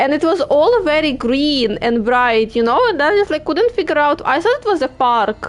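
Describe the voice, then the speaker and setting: A woman's high-pitched voice with a Ukrainian accent, very wide pitch swings, a moderate pace and hardly any pauses. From Ukraine. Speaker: gaming streamer. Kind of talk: casual chat. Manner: halting.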